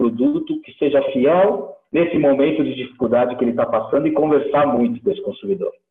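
A man speaks with lively intonation at a moderate pace, and music plays in the background. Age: 60s. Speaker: dairy company executive. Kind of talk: interview.

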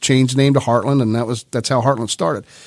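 A man speaks in a Midwestern US accent. His pitch is medium and his intonation fairly even. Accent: US Midwest. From central Ohio. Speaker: bank executive. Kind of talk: interview. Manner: hesitant.

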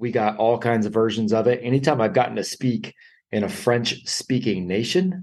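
A man speaks at a moderate pace and medium pitch with a slightly mellow tone. Audible room echo surrounds his voice. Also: ordinary pitch variation.

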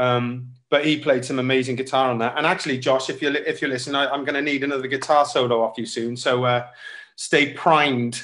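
A man with a Welsh accent talks at a fairly quick pace in a medium pitch, his intonation flat and monotone. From Wales, Cardiff. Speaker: singer-songwriter and saxophonist. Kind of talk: casual interview.

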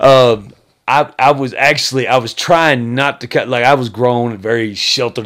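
A man with an American accent speaks in an ordinary speaking voice, his medium pitch rising and falling in an ordinary way. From Texas. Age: 30s. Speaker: podcast co-host. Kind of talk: casual chat.

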